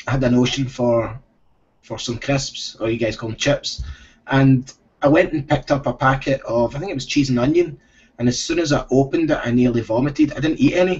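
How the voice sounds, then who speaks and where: The man's voice is somewhat breathy, moving at a fairly quick pace with ordinary pitch variation. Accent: Scottish. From Scotland. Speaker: former professional soccer player. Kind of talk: interview answer.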